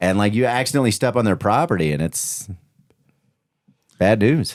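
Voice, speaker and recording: A man with a fairly low pitch, an unremarkable speaking voice and an American accent, at a moderate pace with lively intonation. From Kansas City area, US Midwest. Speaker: podcast host. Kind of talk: casual chat.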